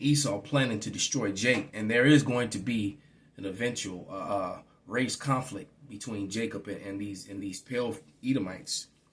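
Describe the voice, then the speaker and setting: Somewhat breathy and at a moderate pace, a man in an American accent shows big swings in loudness. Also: medium pitch for a man, ordinary pitch variation. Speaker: religious teacher. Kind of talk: bible teaching. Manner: halting, repetitive fillers.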